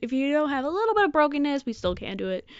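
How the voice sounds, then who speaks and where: A woman is speaking. She has an American accent. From Michigan, US. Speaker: podcaster. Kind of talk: casual monologue.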